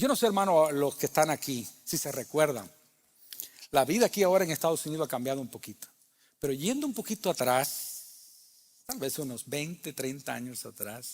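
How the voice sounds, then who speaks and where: A man with a plain, everyday voice speaks at a moderate pace in a fairly high pitch, his lively intonation paired with big swings in loudness on a very clean recording with a silent background. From Cuba. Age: 60s. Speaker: pastor. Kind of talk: sermon. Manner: conversational.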